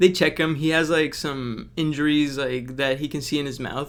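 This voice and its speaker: A man with a non-native accent at a fairly quick pace. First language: not English. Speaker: book reviewer. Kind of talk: casual analysis video. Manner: casual, frequent fillers.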